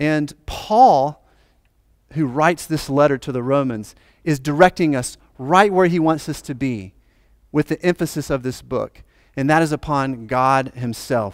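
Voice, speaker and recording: A man talks at a fairly slow pace in a plain, everyday voice, at a fairly high pitch with ordinary pitch variation. The sound is dry and close with no echo, in a very clean recording with a silent background. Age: 40s. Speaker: pastor. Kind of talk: sermon. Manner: casual, conversational.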